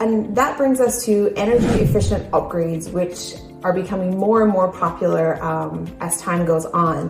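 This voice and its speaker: With music in the background, a woman of medium pitch speaks at a moderate pace with ordinary pitch variation. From Newfoundland, Canada. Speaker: realtor. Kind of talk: real estate advice talk to camera.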